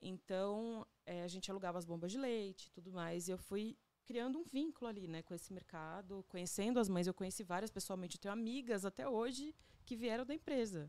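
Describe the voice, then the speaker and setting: With lively intonation and a dark, mellow tone, a woman of medium pitch speaks at a fairly quick pace. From Agreste of Pernambuco, Brazil. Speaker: photographer and visual artist. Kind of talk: casual interview. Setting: studio.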